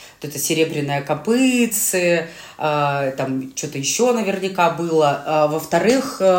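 Over noticeable background noise, someone talks very slowly with lively intonation and big swings in loudness. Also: woman, very deep, low pitch for a woman. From Urals, Russia (Chelyabinsk region). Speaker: podcast co-host. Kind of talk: casual chat. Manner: animated.

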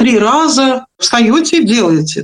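The woman's voice is high. She takes her time, speaking fairly slowly. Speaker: vocal and public speaking teacher. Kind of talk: interview.

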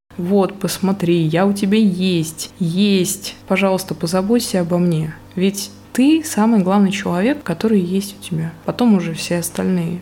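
A woman at medium pitch with ordinary pitch variation, fairly slow pace, and noticeable background noise. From Russia, Murmansk. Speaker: podcast host, personal brand mentor. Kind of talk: unscripted solo monologue.

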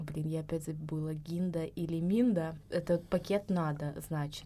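This woman has an ordinary speaking voice. Her pitch is fairly low. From southern Russia, Krasnodar region. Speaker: emigrant, guest. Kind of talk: casual chat. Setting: studio.

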